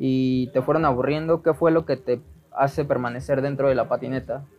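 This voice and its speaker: Music plays in the background as a man with a Mexican accent talks at a fairly high pitch. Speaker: podcast host. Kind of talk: casual interview.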